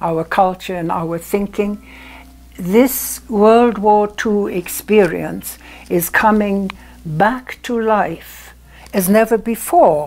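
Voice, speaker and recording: A woman with a German accent, at a very slow pace. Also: ordinary pitch variation. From Germany. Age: 80s+. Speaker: storyteller. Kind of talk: interview answer. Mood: earnest, reflective storytelling. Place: home room. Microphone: lapel.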